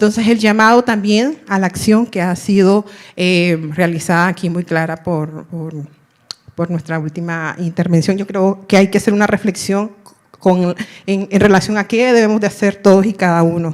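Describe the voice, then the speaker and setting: Her pitch sits in the medium range and her pace is moderate. The woman's intonation stays fairly even. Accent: Nicaraguan. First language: Miskito (speaking Spanish). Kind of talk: audience question at panel. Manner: halting, many fillers.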